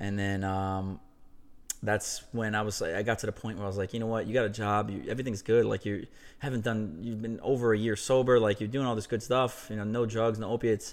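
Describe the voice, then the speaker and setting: Speaking fairly quickly with an American accent, a man keeps his intonation fairly even. The recording is very clean, with a silent background. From New York (Westchester). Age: 30s. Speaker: former college baseball player, CrossFit athlete. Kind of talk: casual interview.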